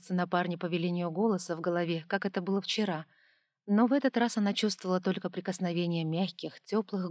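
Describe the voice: Plain reading aloud, the background quiet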